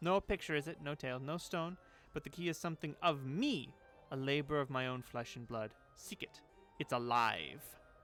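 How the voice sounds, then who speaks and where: A man puts on a character voice at a fairly high pitch, speaking at a moderate pace. Faint music plays in the background, and there is hissing. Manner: hissing, cryptic.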